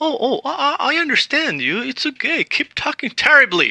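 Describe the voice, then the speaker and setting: A woman with a Spanish accent speaks at a moderate pace with very wide pitch swings, in a dry, close sound with no echo. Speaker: language teacher. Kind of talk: tutorial.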